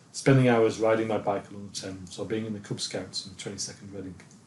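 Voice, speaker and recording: Somewhat breathy, a man speaks at a very fast pace with a fairly low pitch. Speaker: filmmaker narrating own life. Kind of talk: scripted narration.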